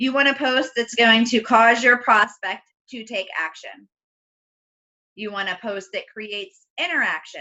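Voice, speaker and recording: Woman with a fairly high pitch, ordinary pitch variation and big swings in loudness. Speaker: team trainer for online business. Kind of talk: team training on video call. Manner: animated. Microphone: voice fading in and out, very quiet.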